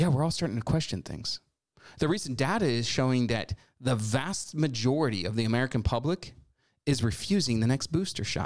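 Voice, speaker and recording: Animated in tone, a man speaks at a fairly quick pace and a medium pitch. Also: lively intonation, very clean recording, silent background. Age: 40s. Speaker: political talk show host. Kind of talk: political commentary monologue.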